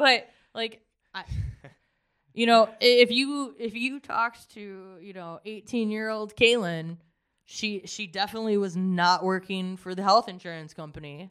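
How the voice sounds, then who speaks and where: A normal speaking voice at a moderate pace, with ordinary pitch variation and big swings in loudness. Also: woman, medium pitch for a woman. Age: 30s. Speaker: life coach. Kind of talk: casual chat.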